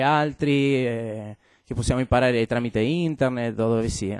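Speaking with a Spanish accent, a man is heard in a dry sound with no echo. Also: quiet background. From Argentina, Buenos Aires. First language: Spanish (speaking Italian). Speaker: game designer; guest. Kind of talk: talk to students. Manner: halting, many fillers. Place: classroom.

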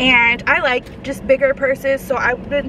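Over noticeable background noise, a woman raises and projects her high-pitched voice at a fairly slow pace, in a dry recording with no echo. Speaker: YouTube vlogger; vlogger. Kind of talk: casual mukbang vlog. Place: car. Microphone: phone near.

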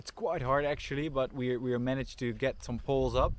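A man speaks in a Dutch accent, the sound dry with no echo. Noticeable background noise runs behind him. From Netherlands. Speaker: farm volunteer. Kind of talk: casual vlog explanation. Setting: outdoors. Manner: halting. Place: open country. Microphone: phone near.

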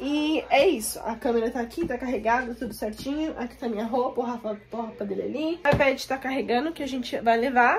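Over light background noise, a woman speaks at a high pitch. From Brazil (São Paulo), moved to the US at 11. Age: 20s. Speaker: vlogger. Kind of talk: casual talk to camera. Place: home room. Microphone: phone near.

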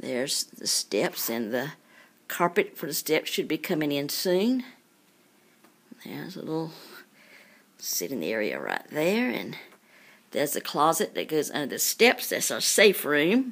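The speaker moves at a fairly slow pace, with long pauses coming often. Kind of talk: casual home tour narration. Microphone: phone near.

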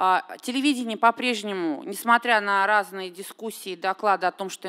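Over a quiet background, a woman at medium pitch speaks at a fairly slow pace with lively intonation. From Russia. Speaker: television critic; audience commentator. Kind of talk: panel discussion. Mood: earnest, critical. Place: hall. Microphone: podium.

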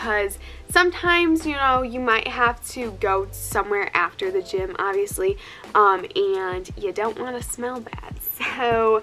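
A woman speaks at a high pitch and a fairly slow pace, with faint music in the background. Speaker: fitness vlogger. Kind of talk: casual vlog chat. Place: home room. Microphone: phone near.

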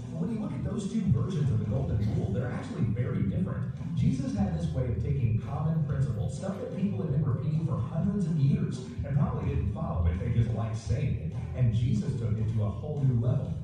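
A man at a very fast pace, amid strong room echo and faint music in the background. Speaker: pastor. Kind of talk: sermon. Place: church.

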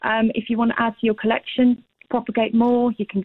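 A woman at a fairly quick pace, fairly high in pitch, with monotone, flat intonation. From South Africa. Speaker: small business owner, houseplant wellbeing. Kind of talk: radio interview answer.

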